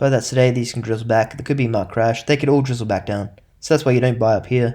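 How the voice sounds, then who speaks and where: Dark and mellow in tone, a man's medium-pitched voice carries ordinary pitch variation. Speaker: investing youtuber. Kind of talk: casual stock market talk. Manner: fast.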